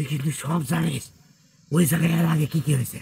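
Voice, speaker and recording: A raspy put-on character voice at a fairly quick pace, in a monotone, flat intonation. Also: man. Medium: game stream. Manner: defiant, threatening.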